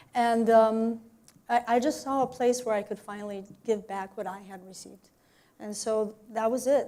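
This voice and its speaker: At a moderate pace, the speaker uses a dark, mellow tone and monotone, flat intonation with a Spanish accent. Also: woman. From Mexico. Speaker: arts program director, violin teacher. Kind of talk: interview. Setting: radio studio. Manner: hesitant, many fillers.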